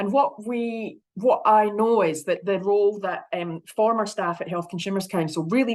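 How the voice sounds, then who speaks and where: A woman speaks with a Scottish accent and ordinary pitch variation. The background is quiet. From Scotland. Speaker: health consumer advocate. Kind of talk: conference presentation. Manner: fast.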